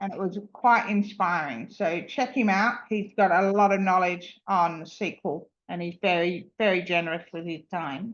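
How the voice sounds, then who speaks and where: A woman with a plain, everyday voice talks at a fairly slow pace and a medium pitch. Her pitch varies in an ordinary way, and she hardly pauses. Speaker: user group presenter. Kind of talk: online meeting screen-share demo.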